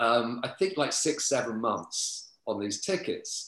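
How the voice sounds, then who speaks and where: At a very slow pace, a man talks in a medium pitch with lively intonation. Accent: London. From London, East End. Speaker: author and club promoter. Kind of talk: casual interview. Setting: video call.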